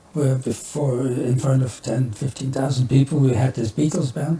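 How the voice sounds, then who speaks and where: Over noticeable background noise, a man with a Flemish Belgian accent speaks at a medium pitch and moderate pace, with fairly even intonation and hardly any pauses. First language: Dutch (Flemish). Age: 70s. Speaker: musician. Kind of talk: podcast interview. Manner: halting.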